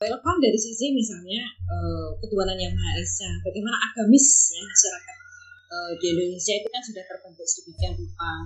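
A woman talks at a very fast pace, her loudness swinging widely. Noticeable background noise sits behind her. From Sulawesi. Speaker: university vice-rector. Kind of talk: interview. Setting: remote call. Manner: halting. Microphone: poor sound quality.

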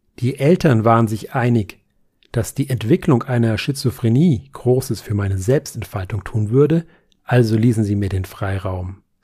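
A somewhat breathy man speaks in a dark, mellow tone at medium pitch and a moderate pace, with ordinary pitch variation. The recording is very clean, with a silent background. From Nuremberg, Franconia. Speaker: author. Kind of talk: literary reading.

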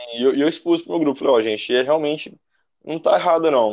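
A man races along at a very fast pace, his pitch varying in an ordinary way. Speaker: former student. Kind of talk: casual chat. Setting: call via app.

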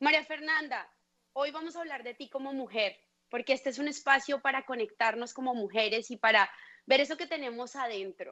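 Bright and sharp in tone, a woman's high-pitched, raised and projected voice moves at a fairly quick pace with big swings in loudness. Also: ordinary pitch variation. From Colombia. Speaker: podcast host. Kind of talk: interview.

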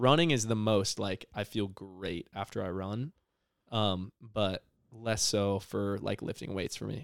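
In a normal speaking voice, a man talks at a fairly low pitch with ordinary pitch variation, recorded dry and close with no echo against a very clean, silent background. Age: 20s. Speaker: podcast co-host. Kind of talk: casual chat.

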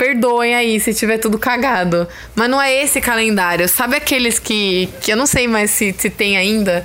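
Animated in tone, a woman with an interior São Paulo accent speaks at a moderate pace and fairly high pitch, with ordinary pitch variation and very even loudness. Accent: caipira, with retroflex R. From rural Brazil (interior, caipira). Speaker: podcast host. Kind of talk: casual chat. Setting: at home, sitting on a bed. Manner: shrill at times.

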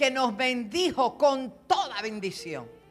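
A woman's high-pitched, animated voice with lively intonation over background music. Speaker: apostle and pastor. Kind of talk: sermon. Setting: church with congregation.

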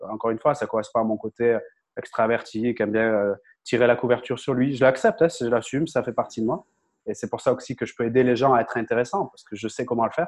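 A man speaking very fast with fairly even intonation over a quiet background. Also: medium pitch for a man. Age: 30s. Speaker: content creator and communication coach. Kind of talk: interview.

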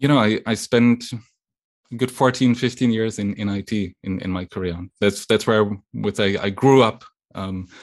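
A man speaks at a moderate pace and a fairly low pitch in a German accent. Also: quiet background. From western Germany. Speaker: technology executive. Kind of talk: interview. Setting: video call.

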